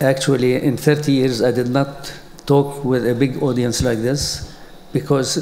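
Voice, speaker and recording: Against noticeable background noise and audible room echo, a man with a fairly high pitch talks at a fairly slow pace in a flat, monotone way. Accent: Arabic. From Palestine (Jerusalem). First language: Arabic. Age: 80s+. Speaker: educator. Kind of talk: conference talk. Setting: stage with audience. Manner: halting.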